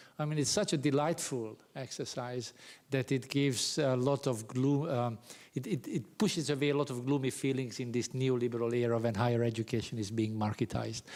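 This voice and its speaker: A man with a Hungarian accent, medium pitch and fairly even intonation at a moderate pace, in a very clean recording with a silent background. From Hungary, Pécs (South Hungary). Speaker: professor. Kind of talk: lecture. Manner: halting, many fillers.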